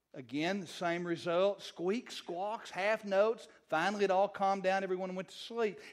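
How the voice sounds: Fairly even intonation in a natural reading voice.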